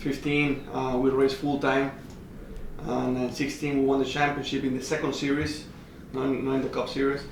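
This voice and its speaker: A man with a Spanish accent, fairly high-pitched and flat in a monotone, at a moderate pace amid noticeable background noise and audible room echo. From Mexico. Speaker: racing driver. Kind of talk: casual interview chat. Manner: halting.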